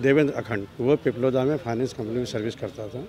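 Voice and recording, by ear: Slightly mellow male voice at medium pitch, moderate pace and ordinary pitch variation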